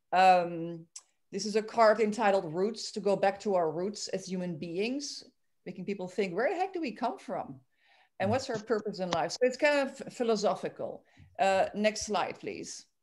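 A woman speaks with a Dutch accent at a moderate pace. Her intonation is lively, and there is light background noise. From Belgium, Antwerp; Belgium. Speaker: amateur photographer, club member. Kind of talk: photo presentation. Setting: video call. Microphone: video call.

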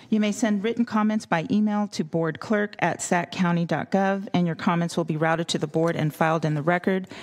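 A woman with a plain, everyday voice at a fairly low pitch, with ordinary pitch variation, very even loudness, a fairly quick pace and hardly any pauses. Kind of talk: formal announcement read aloud. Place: hall. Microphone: podium.

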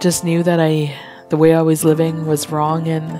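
Against music in the background, the voice moves at a fairly slow pace with monotone, flat intonation. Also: woman. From Alberta, Canada. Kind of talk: personal testimony interview answer.

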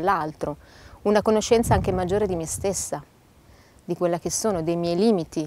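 Fairly quick speech from a woman with a fairly low voice and ordinary pitch variation. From Bologna, northern Italy. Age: 30s. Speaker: lay missionary. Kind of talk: testimony. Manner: halting.

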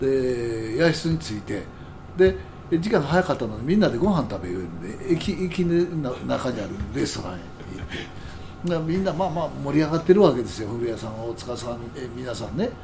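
Noticeable background noise and audible room echo surround a man speaking at a medium pitch and a fairly quick pace. His pitch swings very widely and his loudness shifts sharply. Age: 70s. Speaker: jazz musician. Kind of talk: casual chat.

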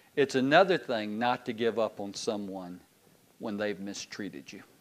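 The speaker is a man. He talks in a Southern US accent. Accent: Southern US (Georgia). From US South, Georgia (Decatur, Loganville); Georgia. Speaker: pastor. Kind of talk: sermon. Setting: church. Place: church.

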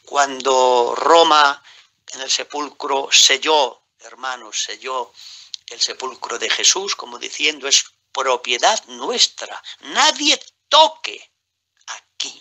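This man talks at a very slow pace, his loudness swinging widely. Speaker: evangelical preacher. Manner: earnest, fervent preaching cadence with rhetorical repetitions and exclamations; somewhat halting, with self-corrections and fillers.

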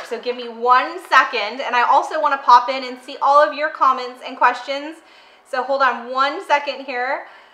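A woman uses a raised, projected voice at a moderate pace with ordinary pitch variation. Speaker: recipe host. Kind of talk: casual livestream chat. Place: kitchen.

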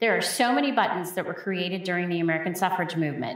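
With a fairly low pitch and ordinary pitch variation, a woman talks in an unremarkable speaking voice. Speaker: museum educator. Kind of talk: educational gallery talk. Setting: museum hallway.

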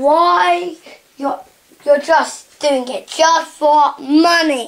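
A cartoonish character voice speaks at a high pitch and a very slow pace. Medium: puppet.

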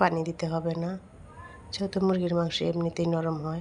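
Against noticeable background noise, a woman speaks in a monotone, flat intonation at a fairly low pitch. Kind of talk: cooking tutorial.

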